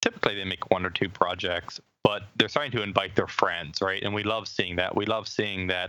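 Using a normal speaking voice, a man talks at a moderate pace and fairly low pitch. His intonation stays fairly even. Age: 30s. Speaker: startup CEO. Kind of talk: interview.

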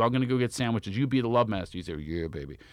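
The voice has a Philadelphia accent and very wide pitch swings at a very fast pace. The recording is very clean, with a silent background. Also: man. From Philadelphia, US. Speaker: comedian. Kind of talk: casual chat. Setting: studio.

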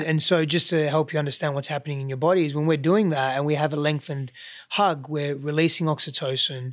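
A man with an Australian accent talks at a very fast pace in a fairly high voice for a man, his intonation fairly even, on a very clean recording with a silent background. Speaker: podcast guest, relationship coach.

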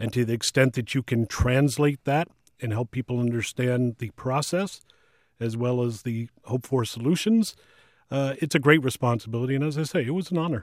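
In a plain, everyday voice with an American accent, a man speaks at a medium pitch and moderate pace with ordinary pitch variation, on a very clean recording with a silent background and a dry, close sound with no echo. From Washington, D.C. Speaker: TV news executive. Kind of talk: interview.

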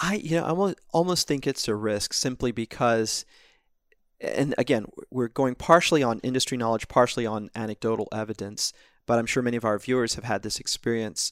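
On a very clean recording with a silent background and a dry, close sound with no echo, a man with an American accent and a plain, everyday voice speaks at a fairly quick pace with medium pitch and ordinary pitch variation. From US South, rural North Carolina near Smithfield. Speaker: stock analyst. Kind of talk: casual chat.

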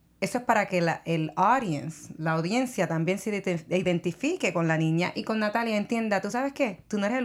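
Someone with a Puerto Rican accent speaks at a fairly quick pace with lively intonation. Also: woman. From Puerto Rico. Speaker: entertainment show co-host. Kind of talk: casual chat.

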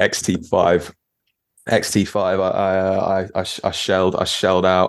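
The speaker has a London accent. The pace is fairly slow. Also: man. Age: 20s. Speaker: composer and street photographer. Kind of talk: casual interview.

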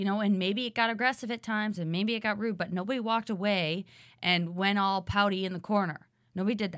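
A woman speaks very fast at a medium pitch with fairly even intonation, captured in a very clean recording against a silent background. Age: 30s. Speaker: former reality show contestant. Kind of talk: casual chat.

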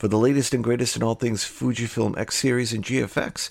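A man is speaking. His voice has vocal fry. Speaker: podcast host. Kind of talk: casual interview. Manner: jokey, laughs often.

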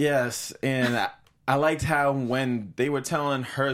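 A man speaks with an American accent. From Boston, US New England. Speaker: TV after-show co-host. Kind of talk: casual chat. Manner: animated.

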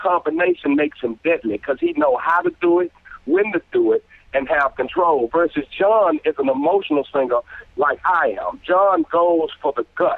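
The speaker is a man talking at a moderate pace. His loudness stays very even. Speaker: singer. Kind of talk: casual chat.

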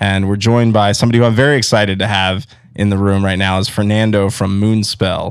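A man's fairly low, upbeat voice at a very fast pace. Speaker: radio podcast host. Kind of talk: casual interview and announcements. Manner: upbeat, casual.

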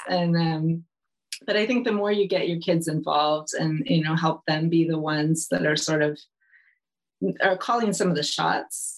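A woman with an American accent, a fairly low pitch, ordinary pitch variation and a moderate pace. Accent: American accent, though living in UK. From California, US. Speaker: nutrition educator, recipe developer, book co-author. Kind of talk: casual interview chat.

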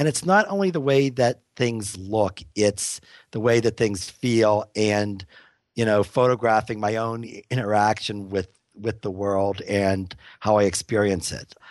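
A man with an American accent talks in a normal speaking voice at a fairly slow pace. His pitch is fairly low, his intonation fairly even, and the background quiet. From US, Pittsburgh. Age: 50s. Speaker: photographer. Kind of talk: interview.

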